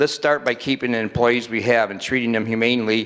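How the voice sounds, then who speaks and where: Speaking with a Michigan accent, a man has a medium pitch and fairly even intonation. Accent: Midwestern US (Michigan). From Michigan, Dearborn Heights. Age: 60s. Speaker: city council member. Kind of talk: council meeting speech. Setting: council meeting in a school, with audience.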